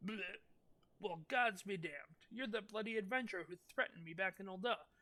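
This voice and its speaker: A gruff, put-on character voice at a middle pitch moves along at a fairly quick pace. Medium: solo performance. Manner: gruff, coarse.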